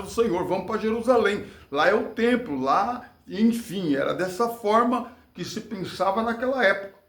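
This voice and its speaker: A man talks fairly slowly in a space with audible room echo and noticeable background noise. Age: 60s. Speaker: former church worker. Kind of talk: testimony. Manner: preachy.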